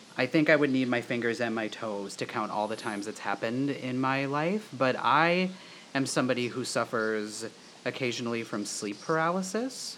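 A man with a plain, everyday voice, medium pitch, moderate pace and lively intonation. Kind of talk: casual chat.

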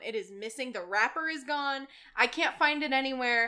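A woman with a high, bright, sharp voice speaks raised and projected. She keeps a moderate pace with lively intonation. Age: young. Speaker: barista. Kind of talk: casual chat.

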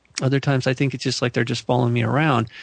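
This man speaks with an American accent at medium pitch. The sound is dry and close, with no echo. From US West Coast, Malibu, California. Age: 50s. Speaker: UFO researcher and author. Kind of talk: interview conversation.

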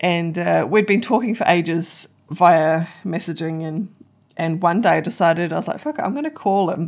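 A woman with a New Zealand accent, fairly low in pitch with ordinary variation, at a moderate pace in a very clean recording with a silent background. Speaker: podcast co-host. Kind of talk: casual chat. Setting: makeshift home studio.

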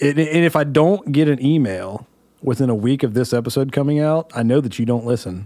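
A man's medium-pitched voice with a dark, mellow tone at a moderate pace. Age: 30s. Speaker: podcast host and musician. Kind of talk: casual chat. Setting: studio.

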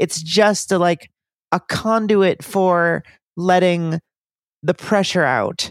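A woman's fairly low voice with an American accent, very slow with long, frequent pauses, fairly even intonation and very even loudness, in a dry, close sound with no echo. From United States. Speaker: podcast co-host. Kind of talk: casual chat.

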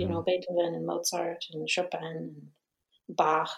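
A woman is speaking. She has a Romanian accent. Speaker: musician and documentary filmmaker. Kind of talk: interview.

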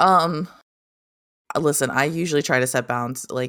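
A woman speaks with ordinary pitch variation, keeping a moderate pace. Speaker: podcast co-host. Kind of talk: casual chat. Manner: giggly.

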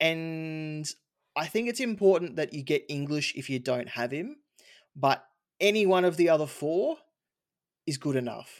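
A man with an Australian accent, fairly high pitch, lively intonation, a moderate pace with long, frequent pauses, on a very clean recording over a silent background. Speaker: fantasy football podcast host. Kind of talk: casual chat.

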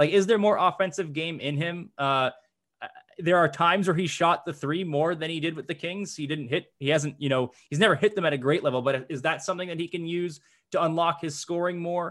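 A man talks at a fairly quick pace in a high pitch with fairly even intonation. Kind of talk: casual podcast discussion.

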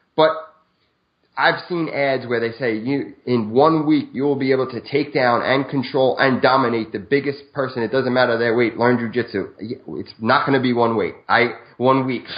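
Here a man speaks at a medium pitch and moderate pace in an ordinary speaking voice. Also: fairly even intonation. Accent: American. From Brooklyn, New York. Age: 40s. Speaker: video marketer and martial artist. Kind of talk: interview.

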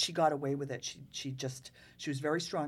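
A woman with a Massachusetts accent talks at a moderate pace and a very deep, low pitch in a very clean recording with a silent background. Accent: New England (Massachusetts). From Rockport, Massachusetts. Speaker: local historian. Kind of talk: casual chat.

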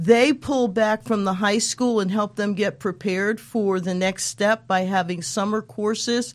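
A woman with an unremarkable speaking voice, medium pitch, ordinary pitch variation, a fairly slow pace and hardly any pauses. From Colorado, US. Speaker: chamber of commerce president. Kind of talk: interview.

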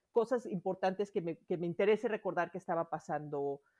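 In a dry, close recording with no echo and a quiet background, a woman with a dark, mellow tone talks at a fairly quick pace with ordinary pitch variation. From Mexico City. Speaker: planner enthusiast. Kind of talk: casual chat.

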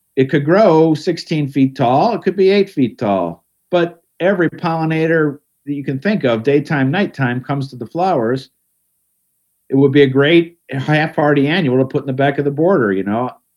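In a normal speaking voice, the speaker talks at a moderate pace with lively intonation. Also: man, fairly high pitch for a man. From Ohio, Cleveland area. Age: 60s. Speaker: garden writer and radio host. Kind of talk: casual interview.

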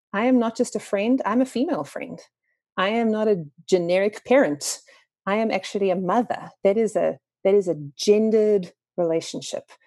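A woman with a South African accent, at medium pitch with a dark, mellow tone, a moderate pace and ordinary pitch variation. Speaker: author. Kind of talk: interview.

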